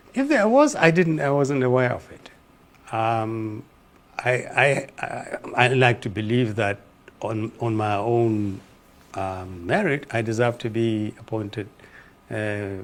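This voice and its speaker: The speech moves at a very slow pace, with long, frequent pauses and big swings in loudness. Pitch variation is ordinary, and there is noticeable background noise. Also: man, medium pitch for a man. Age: 70s. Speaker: former presidential political adviser. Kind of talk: TV interview.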